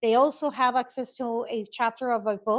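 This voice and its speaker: A woman with a Spanish accent, a fairly high pitch, ordinary pitch variation and a moderate pace. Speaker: conflict resolution expert. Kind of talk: interview. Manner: halting.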